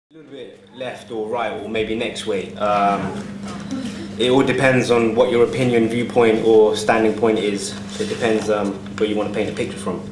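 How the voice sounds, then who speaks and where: A man speaks at a medium pitch and moderate pace, with fairly even intonation and big swings in loudness, as music plays in the background. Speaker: performance poet. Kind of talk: casual spoken introduction to a live audience. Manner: hesitant, nervous.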